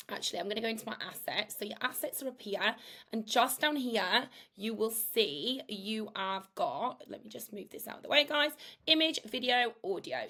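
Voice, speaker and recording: A woman's high-pitched voice, bright and sharp in tone, comes across energetic at a moderate pace with ordinary pitch variation. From northern England, Yorkshire. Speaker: AI content creator. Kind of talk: tutorial. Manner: casual, chatty.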